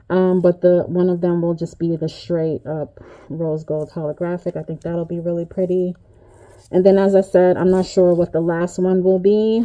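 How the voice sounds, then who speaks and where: A woman's fairly low, dark, mellow voice in monotone, flat intonation. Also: moderate pace. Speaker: resin crafter. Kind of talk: tutorial. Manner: casual, hesitant with fillers.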